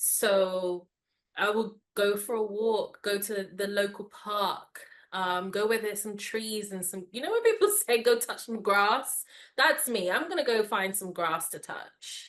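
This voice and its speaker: A woman's fairly high voice at a fairly slow pace. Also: ordinary pitch variation. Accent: London. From London, England. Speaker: wellness podcast host. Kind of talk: interview conversation. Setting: video call.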